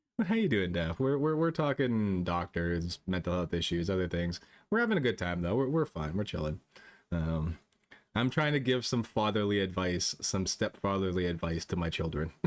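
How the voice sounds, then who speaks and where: With a very deep, low pitch, a man talks at a moderate pace with lively intonation and very even loudness in a very clean recording over a silent background. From Canada. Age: 30s. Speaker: VTuber streamer. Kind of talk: casual live-stream chat.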